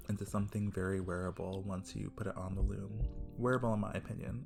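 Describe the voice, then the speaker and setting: Music plays in the background. The voice is soft-spoken and moves at a moderate pace. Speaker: weaver. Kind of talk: casual craft tutorial narration. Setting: home recording with a basic microphone. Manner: soft-spoken, quiet.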